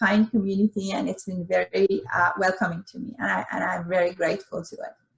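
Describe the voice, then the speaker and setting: With a slight Iranian accent, this voice moves at a fairly quick pace with fairly even intonation. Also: woman. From Iran, Tehran. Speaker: dentist, dental society president. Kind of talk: interview. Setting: video call. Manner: hesitant, many fillers.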